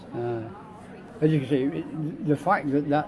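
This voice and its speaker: A man speaks at a fairly high pitch with ordinary pitch variation while crowd noise carries on in the background. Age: 90s. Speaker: war veteran. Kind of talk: interview answer. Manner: casual, conversational.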